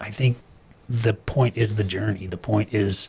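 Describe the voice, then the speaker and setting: A man speaks at a fairly slow pace with an American accent. His voice is somewhat breathy. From US Midwest, Wichita, Kansas. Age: 60s. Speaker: chiropractor and health practitioner. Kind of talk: casual chat.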